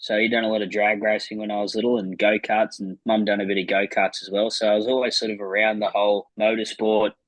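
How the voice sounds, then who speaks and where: A man with an Australian accent and a medium-pitched voice. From New South Wales, Australia (Penrith, Blayney). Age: 20s. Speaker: flat track racer and mechanic. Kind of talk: casual interview. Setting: video call on phone. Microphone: phone.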